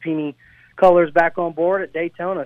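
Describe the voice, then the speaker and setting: A man speaks with fairly even intonation in a plain, everyday voice. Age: 20s. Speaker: race car driver. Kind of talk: radio interview. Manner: casual, filler-heavy.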